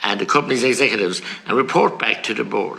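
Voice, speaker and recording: A man with a rural Irish accent talks at a very fast pace. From rural Ireland. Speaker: politician. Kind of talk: committee hearing questioning. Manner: forceful, indignant.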